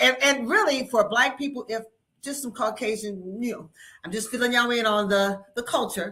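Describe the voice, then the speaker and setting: A woman with an ordinary speaking voice, fairly high in pitch, with ordinary pitch variation, big swings in loudness and a moderate pace. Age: 60s. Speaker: podcast co-host. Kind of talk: casual chat.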